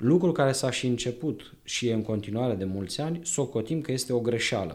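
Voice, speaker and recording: With a dark, mellow tone and medium pitch, a man speaks at a moderate pace with ordinary pitch variation. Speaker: librarian, historian. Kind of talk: radio interview, informative talk. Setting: radio studio.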